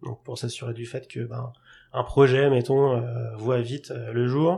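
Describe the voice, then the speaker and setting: Vocal fry colors a man's medium-pitched voice at a moderate pace. His intonation is fairly even, and the recording is very clean with a silent background. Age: 30s. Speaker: product management consultant. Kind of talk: podcast interview.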